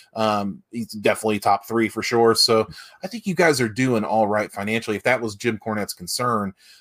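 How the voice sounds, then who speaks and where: At a fairly quick pace, a man talks with medium pitch and ordinary pitch variation in a dry, close sound with no echo. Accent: Appalachian. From West Virginia. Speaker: wrestling podcast co-host. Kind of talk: casual chat.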